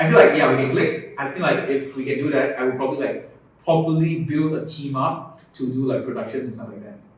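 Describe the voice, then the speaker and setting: Amid noticeable background noise and audible room echo, a man with a Malaysian accent and a fairly high pitch speaks fairly quickly with fairly even intonation and big swings in loudness. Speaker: content creator. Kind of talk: casual chat.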